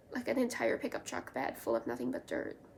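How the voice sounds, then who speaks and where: A woman's voice at a fairly quick pace. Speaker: knitting video creator. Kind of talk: casual show-and-tell vlog. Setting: at home. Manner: animated.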